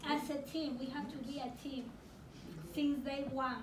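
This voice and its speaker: Over noticeable background noise, a woman talks at a high pitch. Her intonation is monotone and flat. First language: not English. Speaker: adult ESL student and program graduate. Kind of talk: impromptu graduation ceremony speech.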